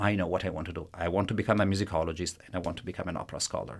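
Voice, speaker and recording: A man with an Italian accent on a very clean recording with a silent background. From Italy. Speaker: professor of musicology. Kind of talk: interview. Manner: halting.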